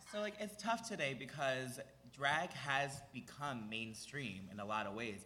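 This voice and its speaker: Speaking with an American accent, a man has a medium pitch, a bright, sharp tone and very wide pitch swings. Room echo is audible. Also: fairly slow pace. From Philadelphia area, US. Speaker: drag performer and musician. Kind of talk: live podcast interview. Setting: stage with audience.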